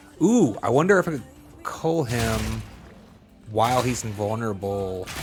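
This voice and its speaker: Music plays behind a man whose voice has an audible room echo. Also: moderate pace. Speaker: video game streamer. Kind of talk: live gameplay commentary.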